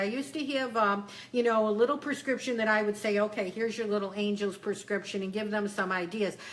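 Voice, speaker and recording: A woman with a fairly high voice talks at a fairly quick pace. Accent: strong Western New York. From Western New York, Buffalo. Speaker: psychic and spiritual business coach. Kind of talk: Q&A coaching session. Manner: casual, conversational.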